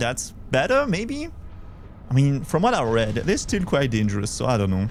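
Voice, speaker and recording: A man with a Belgian accent speaks in a space with audible room echo. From Belgium. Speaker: vtuber streamer. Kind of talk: casual live gameplay chat.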